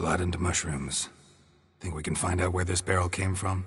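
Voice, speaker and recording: Putting on a character voice, a man talks at a moderate pace in a raspy, very deep, low pitch, with monotone, flat intonation and a deadpan tone. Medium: video game. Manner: terse, deadpan.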